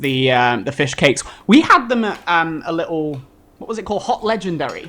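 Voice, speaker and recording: A man speaks at a fairly quick pace in a high pitch, his tone animated and his intonation lively, with big swings in loudness. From northern England, Manchester. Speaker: travel video creator and medical student. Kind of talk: live TV interview. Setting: TV studio.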